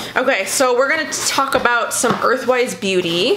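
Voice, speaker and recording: A woman speaks with very wide pitch swings while noticeable background noise is heard. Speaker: beauty YouTuber; beauty vlogger. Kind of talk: casual product haul talk to camera. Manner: casual, hesitant with many fillers. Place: home room. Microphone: phone near.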